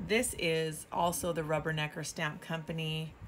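A woman speaks with a very deep, low pitch and vocal fry. Light background noise can be heard. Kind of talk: casual haul show-and-tell. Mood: cheerful, delighted. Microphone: phone near.

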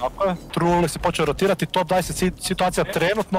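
Through noticeable background noise, a man speaks in a high pitch with an animated tone. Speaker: esports commentator. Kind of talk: sports commentary. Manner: animated, fast play-by-play; excitable, reacting to each kill.

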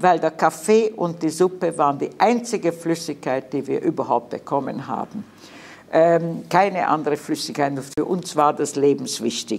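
A woman's very deep, low voice, with ordinary pitch variation and a moderate pace. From Hungary. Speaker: Holocaust survivor. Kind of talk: eyewitness talk to students. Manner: hesitant, many filler sounds. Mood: calm, earnest recollection. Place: hall. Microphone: podium.

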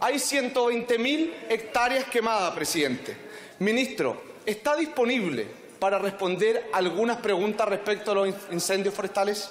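The speaker keeps a fairly slow pace, very even loudness and ordinary pitch variation, with audible room echo and light background noise. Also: man, high pitch for a man. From Chile. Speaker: politician. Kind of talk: parliamentary debate. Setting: parliament chamber. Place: hall. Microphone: podium.

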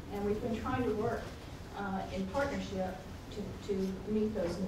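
Speech at a moderate pace comes with noticeable background noise and audible room echo. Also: woman. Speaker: university IT director. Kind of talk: conference talk. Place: meeting room.

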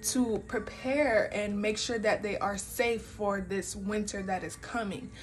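Over faint music in the background, the speech moves at a fairly slow pace with ordinary pitch variation. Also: woman. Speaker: tarot card reader. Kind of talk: spiritual reading commentary. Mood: calm, warm. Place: home room. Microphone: phone near.

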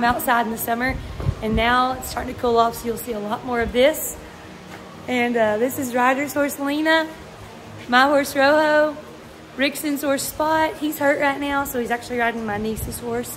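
Over music in the background, a woman speaks at a moderate pace with a high pitch, fairly even intonation, and long, frequent pauses. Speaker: farm owner vlogger. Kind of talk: casual vlog chat. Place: farm machine. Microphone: phone near.

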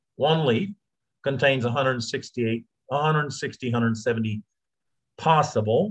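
Over a quiet background, a man with an American accent speaks somewhat breathy. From United States. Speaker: supplement promoter. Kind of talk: interview. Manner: halting. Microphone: video call.

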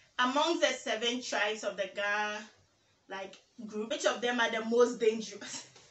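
A woman speaks in an animated tone at a fairly high pitch. The room echo is audible. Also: ordinary pitch variation, moderate pace. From Ghana, Teshie (Accra, Ga); Ghana. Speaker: YouTuber. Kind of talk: casual vlog tag video. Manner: animated, laughing. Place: home room.

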